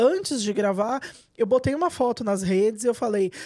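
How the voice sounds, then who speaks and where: Loud speech with lively intonation comes at a fairly quick pace over noticeable background noise. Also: woman. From Minas Gerais, Brazil (south). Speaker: journalist and writer. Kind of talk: interview. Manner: fast.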